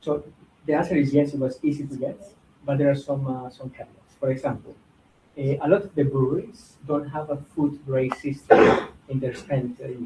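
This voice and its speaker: A man's fairly high-pitched, somewhat breathy voice with a dark, mellow tone and fairly even intonation. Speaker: startup founder giving a guest presentation. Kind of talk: presentation with Q&A. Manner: fast; hesitant with fillers.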